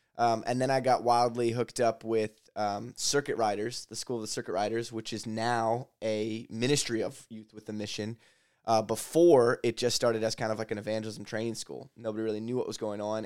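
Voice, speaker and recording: Speaking fairly quickly in a flat monotone, a medium-pitched man is heard on a very clean recording with a silent background. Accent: American. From Lancaster County, Pennsylvania, US. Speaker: ministry leader. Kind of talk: casual chat.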